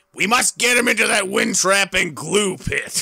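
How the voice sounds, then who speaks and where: A man puts on a character voice, raspy and high-pitched. He projects it loudly at a moderate pace. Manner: scheming.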